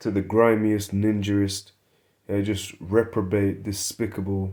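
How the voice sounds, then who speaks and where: A man with a dark, mellow tone and fairly low pitch speaks at a fairly slow pace in monotone, flat intonation, on a very clean recording with a silent background. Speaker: religious video preacher. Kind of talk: religious teaching video. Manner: quieter than usual; low energy.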